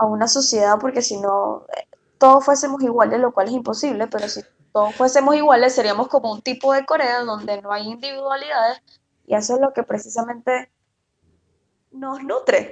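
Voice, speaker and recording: Her pitch is high for a woman. The woman's voice rises and falls with ordinary pitch variation. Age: 20s. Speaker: podcast co-host. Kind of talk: casual chat.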